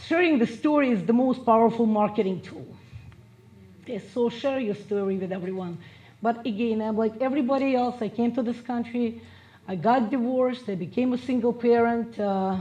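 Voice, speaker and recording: A woman's fairly high voice with a Russian accent, ordinary pitch variation and a fairly quick pace. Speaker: business and marketing coach. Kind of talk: motivational speech.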